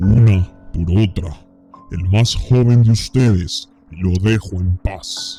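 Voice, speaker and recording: A man's put-on character voice, guttural and fairly low, at a very slow pace over faint background music. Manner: terrifying, menacing.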